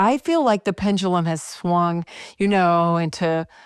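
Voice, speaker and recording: A woman talks at a fairly slow pace in a medium pitch. The recording is very clean, with a silent background. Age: 50s. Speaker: podcast host. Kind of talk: casual interview and closing reflection. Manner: animated.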